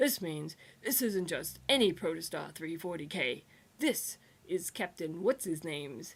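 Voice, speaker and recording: A woman performs a put-on character voice at a moderate pace. It sounds raspy and gravelly, pitched fairly low. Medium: read story. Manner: gruff, lecturing.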